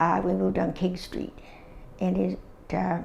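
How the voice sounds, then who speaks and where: A woman talks at a fairly slow pace with a Canadian accent. Room echo is audible. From Ontario, Canada (Dundas area). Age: 80s+. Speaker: oral history interviewee. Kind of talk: oral history interview. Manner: halting, with many fillers.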